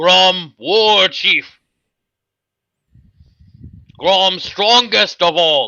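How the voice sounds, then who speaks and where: In a high, put-on character voice, a man speaks very slowly with long, frequent pauses. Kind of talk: broken simple speech. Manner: gruff, boastful.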